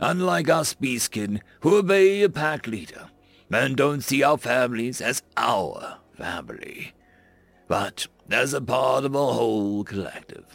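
A man's put-on character voice at a medium pitch and a fairly slow pace. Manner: stern, lecturing, growing fierce.

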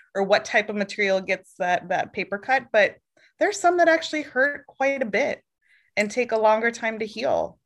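With an American accent, an ordinary speaking voice delivers lively intonation at a moderate pace. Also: woman, fairly high pitch for a woman. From Oregon. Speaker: podcast co-host, HR professional. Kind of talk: casual chat.

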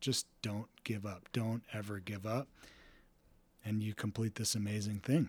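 Somewhat breathy and fairly low in pitch, a man speaks at a fairly slow pace with fairly even intonation and long, frequent pauses. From Texas. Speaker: race director and ultrarunner. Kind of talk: casual interview chat.

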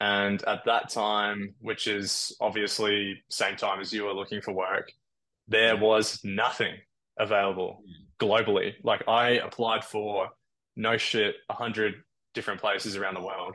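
With an Australian accent, a man with a fairly low pitch and a bright, sharp tone speaks at a fairly slow pace in a monotone, flat intonation against a quiet background. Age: 20s. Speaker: airline pilot. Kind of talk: casual chat.

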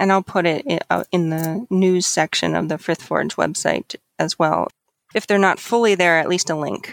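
Recorded dry and close with no echo, a woman with an ordinary speaking voice talks at a moderate pace, her fairly low pitch varying in an ordinary way. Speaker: conference co-organizer. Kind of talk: casual interview.

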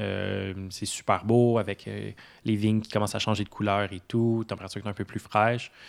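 This man's voice sits at a fairly low pitch and moves at a moderate pace. His intonation is flat and monotone, and the recording is very clean with a silent background. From Quebec, south shore of Montreal. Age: 20s. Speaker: apprentice winemaker. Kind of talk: casual interview.

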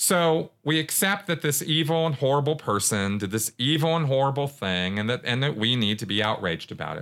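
Recorded very cleanly against a silent background, a man with an ordinary speaking voice and a fairly high pitch talks at a fairly quick pace with lively intonation and hardly any pauses. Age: 40s. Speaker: podcast host, former Scientologist. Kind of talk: solo commentary monologue. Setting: recorded podcast with video.

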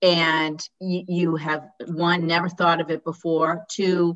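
Speaking with an American accent, a woman talks fairly slowly at a fairly low pitch. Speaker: podcast host and dentist. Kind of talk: interview.

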